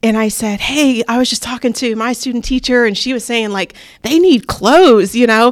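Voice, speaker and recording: Pitched fairly high, a woman with an unremarkable speaking voice talks at a moderate pace with ordinary pitch variation. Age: 30s. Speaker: teacher and assistant principal. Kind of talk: interview.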